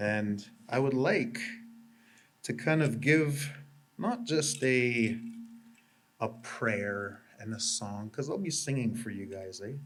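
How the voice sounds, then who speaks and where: A man talks very slowly at a medium pitch, leaving long, frequent pauses. His intonation is lively, and the room echo is audible. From Canada, Anishinaabe First Nation. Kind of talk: ceremonial talk to audience. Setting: exhibit opening with live audience.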